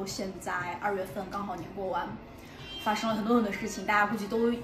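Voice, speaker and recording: A woman is speaking. Noticeable background noise can be heard. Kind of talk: casual vlog chat. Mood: friendly, a little sheepish. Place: cafe. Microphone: phone near.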